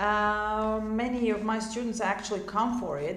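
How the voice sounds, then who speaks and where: Monotone, flat speech in a Croatian accent at a moderate pace, with noticeable background noise and audible room echo. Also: woman. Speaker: English teacher. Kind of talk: tutorial.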